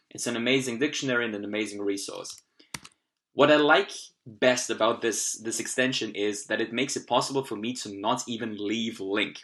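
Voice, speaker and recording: This speaker has a German accent and fairly even intonation. The pace is fairly quick. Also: man, medium pitch for a man. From Austria. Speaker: language learning youtuber. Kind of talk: tutorial. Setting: at home computer, screen recording.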